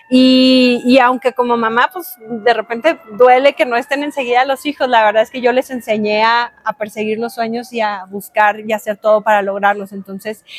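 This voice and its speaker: A woman at a moderate pace and fairly high pitch, with fairly even intonation, hardly any pauses, noticeable background noise and a dry, close sound with no echo. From Mexico, Cuauhtémoc, Chihuahua. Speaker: education official. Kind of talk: interview.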